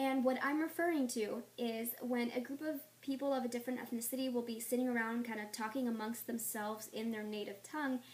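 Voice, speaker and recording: A high-pitched woman speaks at a fairly quick pace with hardly any pauses, over noticeable background noise. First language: Spanish. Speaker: vlogger. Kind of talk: rant. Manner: animated.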